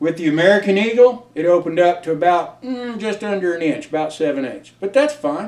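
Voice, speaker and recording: Over noticeable background noise, a man speaks at a fairly quick pace in a high pitch, with lively intonation and hardly any pauses. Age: 60s. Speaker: firearms reviewer. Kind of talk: casual product review. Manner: casual, folksy.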